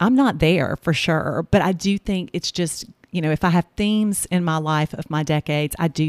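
A woman with a Southern US accent and ordinary pitch variation, on a very clean recording with a silent background and a dry, close sound with no echo. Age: 50s. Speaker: podcast host and Bible study leader. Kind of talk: casual faith conversation, testimony.

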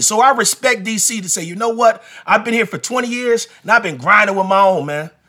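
A man speaks very fast in a raised, projected voice at a high pitch, with hardly any pauses and ordinary pitch variation. His tone is bright and sharp, and the recording is very clean with a silent background. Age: 40s. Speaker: basketball podcast host and coach. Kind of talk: casual sports talk monologue.

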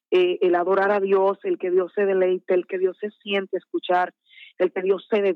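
This voice has a Dominican accent. Its intonation is monotone and flat. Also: woman. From Dominican Republic, Santo Domingo. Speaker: gospel singer. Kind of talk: interview. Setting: phone call.

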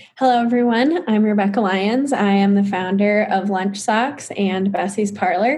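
In a room with audible echo, a woman with an American accent speaks at a moderate pace and very even loudness, with ordinary pitch variation. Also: medium pitch for a woman. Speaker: entrepreneur. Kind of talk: casual interview.

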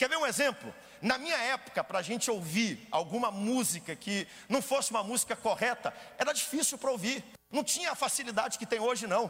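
Raising and projecting his voice, a man talks very fast at an extremely high pitch with a bright, sharp tone and ordinary pitch variation. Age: 30s. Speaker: pastor. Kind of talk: sermon.

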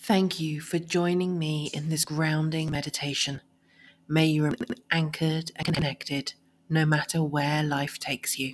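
A woman speaks with a very deep, low pitch and a warm, calm tone. Her intonation stays monotone and flat. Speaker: podcast host and meditation guide. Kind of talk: guided meditation. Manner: slow, calm, soothing, gentle pacing; soft-spoken, warm and reassuring.

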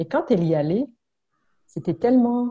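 A woman speaks at a fairly slow pace with a dark, mellow tone. Her voice is somewhat breathy, and her intonation is lively. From Congo (southern), born in Burundi. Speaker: immigrant-services trainer and mediator. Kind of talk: casual interview conversation.

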